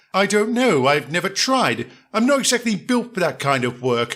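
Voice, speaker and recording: In a put-on character voice, a man speaks at a moderate pace with a high pitch and very wide pitch swings, on a very clean recording with a silent background. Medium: audio drama. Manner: refined, courteous.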